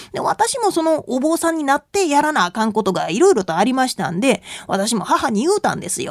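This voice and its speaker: A woman's high-pitched voice at a fairly quick pace, with very wide pitch swings and a dry, close sound with no echo. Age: 30s. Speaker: rakugo storyteller and Buddhist nun. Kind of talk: radio lecture talk.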